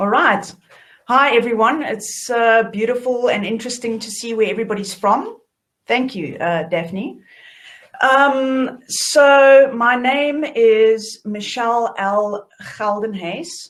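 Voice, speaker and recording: This woman speaks in a South African accent. Her pitch is fairly high and her pace very slow. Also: ordinary pitch variation. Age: 30s. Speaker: author and shadow work facilitator. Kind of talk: online workshop talk.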